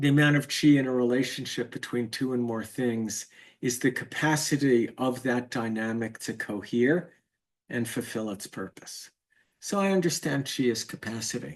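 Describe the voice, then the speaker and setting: With a quiet background, a man speaks in an ordinary speaking voice at medium pitch and a moderate pace, showing ordinary pitch variation. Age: 60s. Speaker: teacher of Chinese medicine and spiritual course. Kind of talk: lecture.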